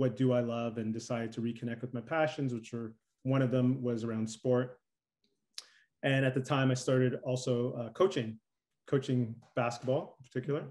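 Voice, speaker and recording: A man with a Canadian accent and an unremarkable speaking voice, medium in pitch, at a fairly quick pace with fairly even intonation against a quiet background. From Toronto, Canada. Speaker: performance coach. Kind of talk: interview conversation. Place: home room. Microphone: webcam.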